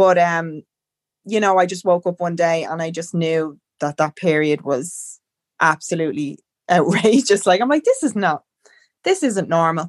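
In an Irish accent, a woman speaks at a moderate pace with ordinary pitch variation. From Ireland. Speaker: first-time mother sharing birth story. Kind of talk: casual interview chat.

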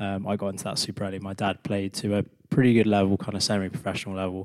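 A man with a British accent, fairly low in pitch, talking very fast in a flat, monotone intonation. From UK. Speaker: amateur runner. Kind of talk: casual chat.

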